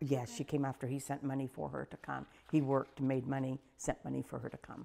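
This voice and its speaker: Someone with an Ohio accent speaks at a fairly quick pace, with big swings in loudness. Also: woman. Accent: Southeast Ohio American. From Corning, Ohio. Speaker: volunteer storyteller. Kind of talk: oral history interview. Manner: casual, conversational.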